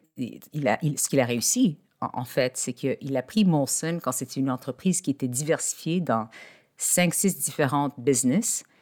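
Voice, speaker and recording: Here a woman speaks with a very deep, low pitch and lively intonation at a fairly slow pace. The recording is very clean, with a silent background and a dry, close sound with no echo. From Quebec, Montreal. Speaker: executive coach and lawyer. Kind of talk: interview. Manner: halting, many repetitions.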